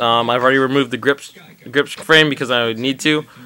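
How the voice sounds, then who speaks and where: A man's monotone, flat intonation moves at a fairly quick pace amid noticeable background noise. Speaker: paintball hobbyist video maker. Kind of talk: tutorial. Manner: fast; casual, hesitant with many ums.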